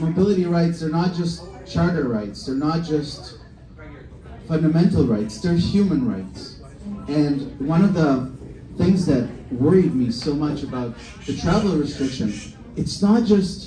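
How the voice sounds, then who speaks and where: With audible room echo and noticeable background noise, a fairly high-pitched man speaks at a fairly slow pace with lively intonation and long, frequent pauses. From former Soviet Union. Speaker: politician. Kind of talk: campaign speech. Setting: bar event with live audience. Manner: impassioned.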